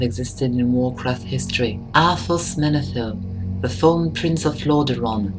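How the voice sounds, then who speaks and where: With music in the background, a woman speaks in a French accent. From France. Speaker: gaming lore video creator. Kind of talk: scripted narration.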